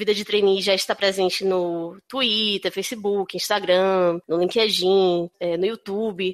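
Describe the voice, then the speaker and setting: A woman with a northeastern Brazilian accent speaks at a fairly slow pace with hardly any pauses, monotone, flat intonation and big swings in loudness. The recording is very clean and dry, with a close sound, no echo and a silent background. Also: medium pitch for a woman. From Brazil, Northeast, Recife (Pernambuco). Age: 30s. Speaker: career and HR consultant. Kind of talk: podcast interview. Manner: hesitant, many fillers.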